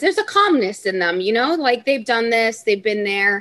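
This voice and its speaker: Her tone bright and sharp, a woman speaks at a fairly high pitch. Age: 20s. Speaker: NICU nurse. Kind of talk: casual interview.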